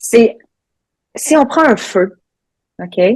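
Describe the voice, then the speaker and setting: This is a woman speaking. She has a Quebec accent. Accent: Québécois. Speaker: ultra trail runner, coach. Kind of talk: podcast interview answer.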